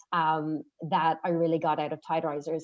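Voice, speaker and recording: At a moderate pace, the speaker talks with an Irish accent. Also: woman. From Ireland. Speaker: program member sharing testimony. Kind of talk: testimony.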